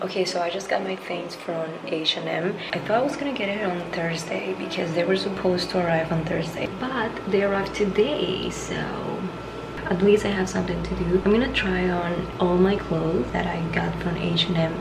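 A woman's voice moves with ordinary pitch variation, and noticeable background noise can be heard. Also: fairly slow pace. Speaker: vlogger. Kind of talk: casual vlog chat. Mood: relaxed, chatty. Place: bathroom. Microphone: phone near.

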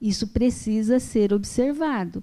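Fairly high in pitch, a woman speaks with a dark, mellow tone. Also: quiet background. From Brazil. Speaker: speaker. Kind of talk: panel Q&A answer. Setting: auditorium with live audience. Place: hall. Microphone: handheld.

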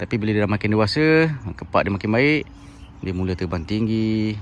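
This is a man speaking. The sound is dry with no echo. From Malaysia. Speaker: bird keeper, YouTuber; YouTuber. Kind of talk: casual tutorial. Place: open country. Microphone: phone near.

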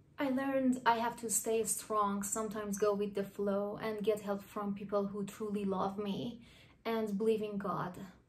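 A woman with an Iranian accent speaks at a medium pitch and a moderate pace in a flat monotone, with audible room echo around her. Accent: Iranian (Persian) accent in English. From Iran, Tehran. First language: Persian. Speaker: artist. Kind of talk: personal narration.

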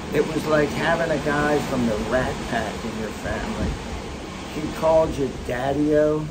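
Amid loud background noise, a man speaks at a fairly slow pace. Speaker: grandfather vlogger, retired tax official. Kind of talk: casual storytelling to grandchildren. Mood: reflective, fond storytelling. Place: boat. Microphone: phone near.

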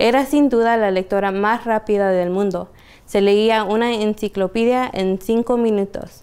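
Her loudness very even, a woman talks at a fairly slow pace with fairly even intonation. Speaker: library storyteller. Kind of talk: bedtime story reading aloud to children. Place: shop.

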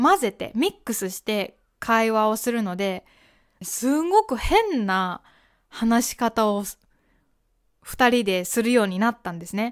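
A lively, rising-and-falling delivery comes at a fairly slow pace over a quiet background. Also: woman. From Japan. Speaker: podcast host and Japanese teacher; Japanese podcast host. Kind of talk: casual educational monologue. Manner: conversational, with fillers and self-corrections. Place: home room. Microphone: studio mic.

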